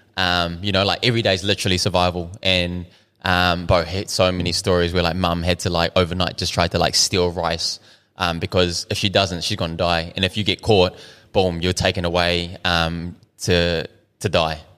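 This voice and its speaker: With a New Zealand accent, a man speaks at a moderate pace in a very deep, low pitch, monotone and flat yet bright and sharp in tone, in a very clean recording with a silent background. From New Zealand, South Auckland. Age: 30s. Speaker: restaurant owner. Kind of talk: casual chat. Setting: in his restaurant.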